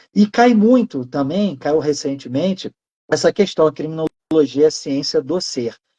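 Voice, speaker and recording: In an ordinary speaking voice, a man talks at a fairly slow pace. His pitch is fairly high, and the sound is dry and close with no echo. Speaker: law professor. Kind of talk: lecture. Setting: live online stream.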